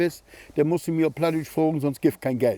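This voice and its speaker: A man's voice sits at a fairly high pitch and carries a dark, mellow tone. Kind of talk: casual conversation.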